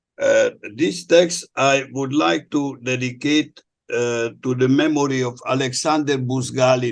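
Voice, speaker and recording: At a very slow pace, a man speaks with a non-native accent. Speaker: historian. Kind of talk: prepared presentation. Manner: halting.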